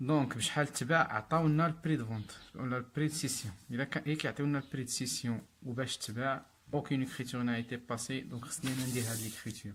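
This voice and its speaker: A man talks at a very fast pace in a Moroccan accent. His intonation is fairly even. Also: medium pitch for a man. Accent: Moroccan Darija with French terms. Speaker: accounting teacher. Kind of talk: tutorial.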